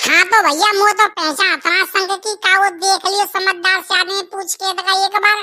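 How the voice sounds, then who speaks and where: Squeaky and extremely high-pitched, a woman's cartoonish character voice runs at a fairly quick pace with monotone, flat intonation. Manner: rustic, chatty, repetitive.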